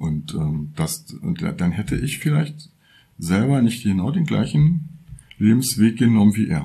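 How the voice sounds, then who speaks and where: The man's tone is dark and mellow, with vocal fry. His pitch swings very widely. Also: medium pitch for a man, fairly slow pace. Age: 60s. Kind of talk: personal testimony. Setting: workshop, recorded lying in a bed.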